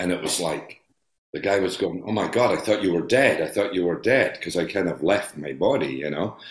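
Speaking with a Scottish accent, a man with a very deep, low voice moves at a fairly quick pace with lively intonation. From Scotland. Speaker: actor. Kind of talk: interview.

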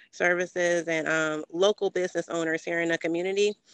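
With an American accent, a woman talks in a fairly low, monotone, flat voice, recorded with a dry, close sound, no echo and a quiet background. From Ohio. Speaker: community resource guide host, banker and coach. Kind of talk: interview conversation.

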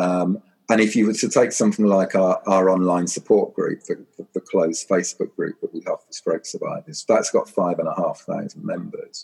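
A man with a southern English accent, in a dry, close sound with no echo. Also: moderate pace. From Suffolk, East Anglia, England. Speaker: charity chief executive. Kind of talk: interview. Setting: remote recording during lockdown. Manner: hesitant, many fillers.

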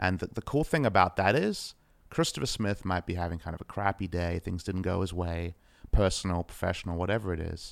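A man with an Australian accent speaks at a fairly quick pace in a very deep, low voice, on a very clean recording with a silent background. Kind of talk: casual chat. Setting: home apartment. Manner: low-key off air, more energetic when casting.

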